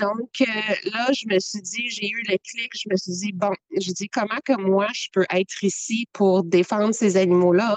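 A woman in a Quebec accent, medium in pitch, fairly slow, with fairly even intonation and a dry, close sound with no echo. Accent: Québécois French. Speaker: animal rights activist. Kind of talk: interview. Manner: hesitant with fillers.

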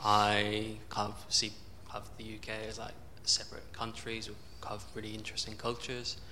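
A man with a fairly low pitch speaks at a moderate pace in a monotone, flat intonation, his loudness swinging widely. Audible room echo and noticeable background noise fill the recording. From southern England. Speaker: audience member, English teacher. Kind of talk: audience question. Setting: stage with audience.

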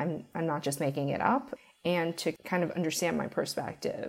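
A woman with an American accent speaks at a moderate pace in an unremarkable speaking voice, her intonation lively. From New York, Brooklyn. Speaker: financial analyst. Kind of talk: interview.

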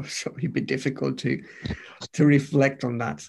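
A man is speaking. His voice sits at a medium pitch. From Romania. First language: Romanian. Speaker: pastor. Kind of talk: interview. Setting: video call.

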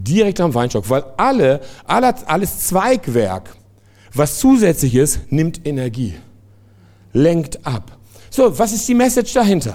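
Speaking very slowly with long, frequent pauses, a man uses a dark, mellow tone at a fairly high pitch, his voice making very wide pitch swings. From France. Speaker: pastor and missionary. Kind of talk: sermon. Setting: church service with congregation.

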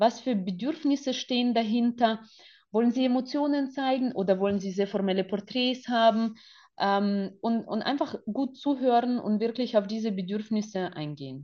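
Speaking at a moderate pace, a woman with a fairly high pitch shows ordinary pitch variation. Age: 40s. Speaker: photographer. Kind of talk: interview.

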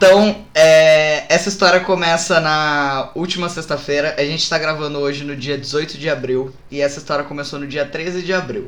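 This man's voice sits fairly high, with fairly even intonation. He talks at a moderate pace with hardly any pauses over noticeable background noise. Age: 20s. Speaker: podcast co-host. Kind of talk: casual chat, storytelling.

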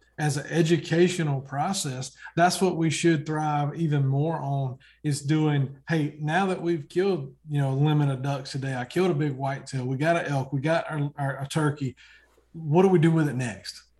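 A somewhat breathy, fairly high-pitched man at a moderate pace with fairly even intonation, against a quiet background. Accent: American. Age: 40s. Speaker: hunting TV show host. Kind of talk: casual chat.

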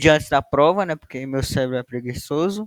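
A man in a normal speaking voice, fairly high in pitch with ordinary pitch variation, in a dry, close sound with no echo. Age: young. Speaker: university student, co-host. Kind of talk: casual chat.

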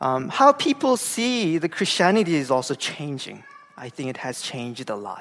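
A man's fairly high voice with a Korean accent, very wide pitch swings, big swings in loudness, and a moderate pace, over noticeable background noise. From South Korea, Gangwon-do. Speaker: pastor. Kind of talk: sermon. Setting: church.

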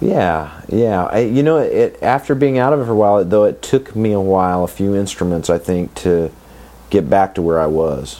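A man with an unremarkable speaking voice and an American accent talks at a moderate pace with lively intonation, fairly low pitch and very even loudness. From US Midwest, Kansas City. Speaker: luthier. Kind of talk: interview.

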